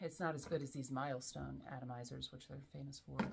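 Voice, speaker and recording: A woman with an American accent speaks at a fairly quick pace over light background noise. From US South. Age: 40s. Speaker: fragrance reviewer. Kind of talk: casual chat. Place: home room. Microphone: camera far.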